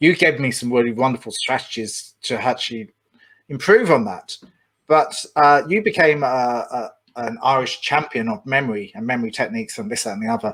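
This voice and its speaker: A man with a medium pitch speaks with an English accent. His intonation is lively. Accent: pronounced English. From England. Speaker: podcast host. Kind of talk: interview.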